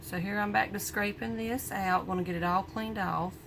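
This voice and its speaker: With an American accent, a woman talks in a fairly low pitch against noticeable background noise. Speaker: small soap business owner. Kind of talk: tutorial. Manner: casual, chatty.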